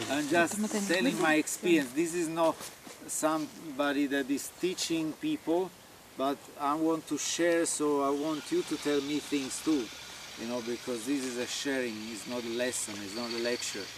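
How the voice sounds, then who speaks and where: With an Italian accent and a fairly high pitch, a man speaks at a moderate pace over noticeable background noise. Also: ordinary pitch variation. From Italy. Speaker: olive farmer. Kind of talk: informal talk to visitors. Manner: halting, many fillers.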